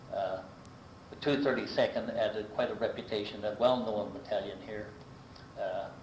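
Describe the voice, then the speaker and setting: Here a man talks at a moderate pace with long, frequent pauses. Noticeable background noise sits behind him. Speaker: local resident recounting life history. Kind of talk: oral history interview answer. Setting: archival recording of a 1985 interview.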